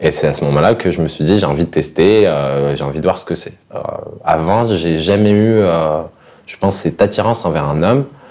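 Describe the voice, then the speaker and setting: With noticeable background noise, a man talks at a fairly quick pace in a very deep, low voice. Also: ordinary pitch variation. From Morocco, Fès. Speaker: interviewee sharing life story. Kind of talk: casual interview. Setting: at his home.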